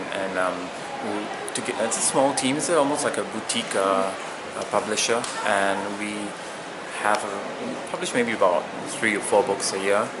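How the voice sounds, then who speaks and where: A man talks at a moderate pace and a fairly low pitch, leaving long, frequent pauses. The room echo is audible and background noise is noticeable. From Singapore. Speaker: poet. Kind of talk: interview. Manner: hesitant, with many fillers.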